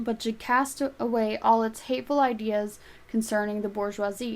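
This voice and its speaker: A soft-spoken woman's voice, fairly high in pitch, with fairly even intonation. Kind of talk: audiobook reading.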